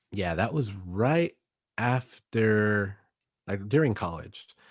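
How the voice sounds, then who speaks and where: Against a quiet background, a man with an American accent speaks at a fairly slow pace, his fairly low voice carrying lively intonation. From Texas. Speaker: youth minister. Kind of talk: casual chat.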